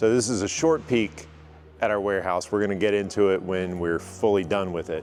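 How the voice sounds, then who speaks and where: A man speaks at a fairly quick pace with a very deep, low pitch. Music plays in the background. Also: ordinary pitch variation. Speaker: business owner giving a facility tour. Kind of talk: casual walkthrough tour. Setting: walking indoors, office and warehouse. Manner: loud.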